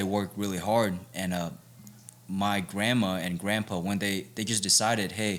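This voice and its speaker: Against music in the background, a man with a fairly low pitch speaks at a moderate pace with fairly even intonation. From Vietnam, raised in Arizona from age ten. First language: Vietnamese. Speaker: MMA fighter. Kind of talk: casual interview chat.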